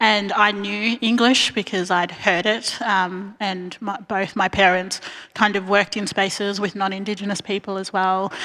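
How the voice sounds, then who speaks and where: A woman with an Australian accent at a medium pitch, moderate pace, flat monotone intonation, and hardly any pauses. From Australia, grew up in Bendigo, Victoria; family from Arnhem Land. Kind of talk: panel talk. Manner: many fillers, um.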